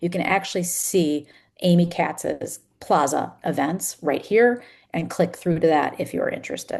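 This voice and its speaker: A woman's fairly low-pitched, unremarkable speaking voice. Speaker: company executive presenting product. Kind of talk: product demo webinar.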